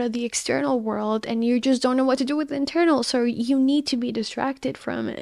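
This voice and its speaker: A woman with a non-native accent, a high pitch, fairly even intonation and a fairly quick pace. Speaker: podcast host. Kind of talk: solo monologue on confidence.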